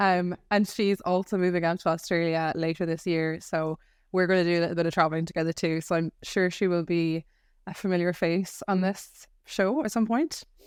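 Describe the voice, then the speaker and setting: An Irish accent at a moderate pace, in a very clean recording with a silent background. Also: woman, fairly low pitch for a woman. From Ireland. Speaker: podcast co-host. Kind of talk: casual chat. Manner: animated.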